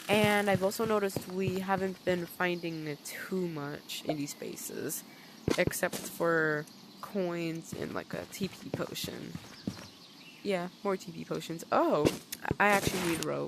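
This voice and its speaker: The speech moves at a fairly slow pace. Noticeable background noise is present. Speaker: gaming youtuber. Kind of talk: game tutorial commentary. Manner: halting, repeated syllables.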